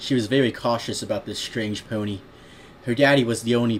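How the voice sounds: What we hear is a natural reading voice.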